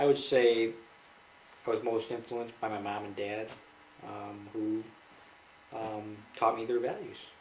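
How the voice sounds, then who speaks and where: Audible room echo surrounds a man with a Midwestern American accent who speaks at a fairly slow pace in a medium pitch with monotone, flat intonation and long, frequent pauses. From Michigan, US. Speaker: interviewee, father. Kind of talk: family interview.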